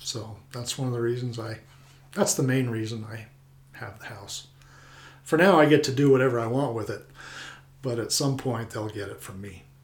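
A man with an American accent talks at a moderate pace and a medium pitch, with ordinary pitch variation and long, frequent pauses. His loudness swings widely, and room echo is audible. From Colorado. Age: 50s. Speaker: retired air force flyer and local homeowner. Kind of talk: interview.

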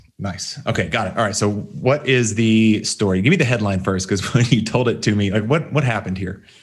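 A man with an American accent speaks at a fairly quick pace with hardly any pauses, his fairly low voice somewhat breathy and showing ordinary pitch variation. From Texas. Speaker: podcast host, online business coach. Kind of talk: interview podcast chat.

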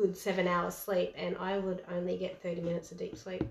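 A woman talks while noticeable noise runs in the background. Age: 40s. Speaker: gym owner and nutrition coach. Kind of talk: casual chat.

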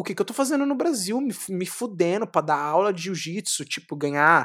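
The voice belongs to a man speaking at a moderate pace. His pitch moves in very wide swings. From São Paulo, Capão Redondo (periphery). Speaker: jiu-jitsu champion. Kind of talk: interview. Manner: animated.

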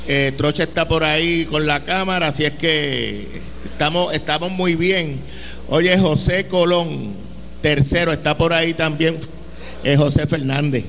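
Amid noticeable background noise and audible room echo, a man talks fairly slowly at a fairly high pitch, with fairly even intonation and very even loudness. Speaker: sports radio host. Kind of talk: sports talk show. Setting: stadium lobby, live event.

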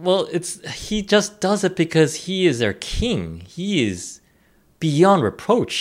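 Speaking at a fairly slow pace, a man's voice shows vocal fry. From Korean heritage. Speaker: podcast co-host. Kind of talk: casual chat. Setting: remote recording.

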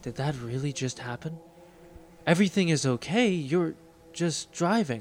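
A man talks with a fairly high pitch and lively intonation. Long, frequent pauses break up his speech. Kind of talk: dramatic second-person fiction narration, scripted storytelling. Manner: hushed, suspenseful, slowly building tension with theatrical pauses.

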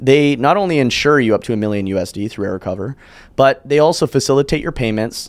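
Speaking at a fairly quick pace with ordinary pitch variation, this is an ordinary speaking voice with a Canadian accent, captured in a very clean recording against a silent background. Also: man. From Canada, Calgary. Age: 20s. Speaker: short-term rental entrepreneur. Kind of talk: podcast interview.

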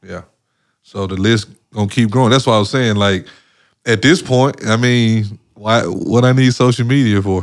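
In a very clean recording with a silent background, a man talks at a moderate pace and medium pitch with ordinary pitch variation. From Mississippi, US South. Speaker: former professional basketball player. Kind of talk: interview, life story. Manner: casual, many fillers.

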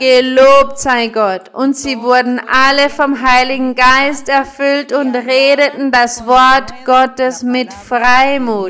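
Over noticeable background noise, a woman with a high pitch speaks at a very slow pace in a monotone, flat intonation with hardly any pauses. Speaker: preacher. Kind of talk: sermon. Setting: church with congregation. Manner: fervent, rhythmic preaching with blessing phrases; didactic, explaining scripture verse by verse.

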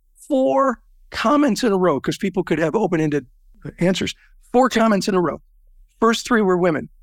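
A high-pitched man with a Californian accent, lively intonation and long, frequent pauses, in a dry, close sound with no echo, very clean recording, silent background. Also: moderate pace, very even loudness. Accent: General American (Californian). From US, Southern California. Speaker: business networking organization founder. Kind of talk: interview.

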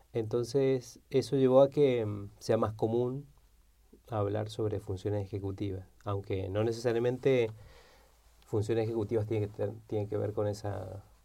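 A man's somewhat breathy, fairly low voice with a dark, mellow tone, fairly even intonation and a moderate pace, over a quiet background. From Argentina, Neuquén (Patagonia). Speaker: philosopher and game designer. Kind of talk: interview.

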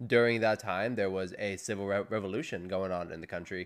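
An unremarkable speaking voice, this man's is fairly low in pitch, with an American accent at a moderate pace on a very clean recording with a silent background. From US, Iranian-American family. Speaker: podcast guest, host's roommate. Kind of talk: casual chat. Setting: living room.

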